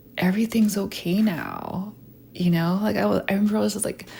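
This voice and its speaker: Soft-spoken and somewhat breathy, a woman talks at a medium pitch with fairly even intonation. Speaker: lifestyle vlogger. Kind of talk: casual monologue. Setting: voice memo recording.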